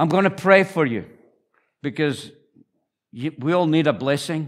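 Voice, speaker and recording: A man with a northeast Scottish accent, fairly high pitch, warm tone and ordinary pitch variation, at a fairly slow pace with long, frequent pauses, on a very clean recording with a silent background. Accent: Scottish, northeast Scots. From northeast Scotland. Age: 70s. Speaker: visiting preacher, church founder. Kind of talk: sermon. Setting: church with congregation. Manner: warm, humorous, preaching.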